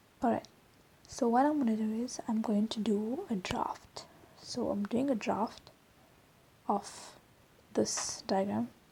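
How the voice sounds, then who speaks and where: Over noticeable background noise, a woman speaks at a fairly high pitch with ordinary pitch variation. Her pace is fairly slow, with long, frequent pauses. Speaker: drawing tutor. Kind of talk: tutorial. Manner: casual.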